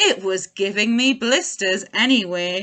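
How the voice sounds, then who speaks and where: Putting on a character voice, a woman speaks at a medium pitch. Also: fairly slow pace. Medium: read story. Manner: warm, cheerful.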